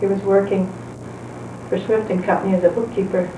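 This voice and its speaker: A woman's medium-pitched voice with an American accent at a moderate pace, with audible room echo and noticeable background noise. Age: 70s. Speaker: retired wife narrating home movies. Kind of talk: casual chat.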